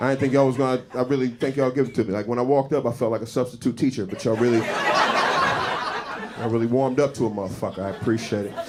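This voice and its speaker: A man speaks at a very fast pace with hardly any pauses. Noticeable background noise can be heard. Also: medium pitch for a man. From South Jersey, US. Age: 40s. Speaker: stand-up comedian. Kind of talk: stand-up. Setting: stage with audience. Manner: animated.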